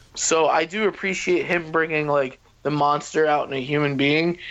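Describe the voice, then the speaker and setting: A man speaks in a fairly high voice with fairly even intonation at a moderate pace. He has an ordinary speaking voice. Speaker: podcast host. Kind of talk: casual chat.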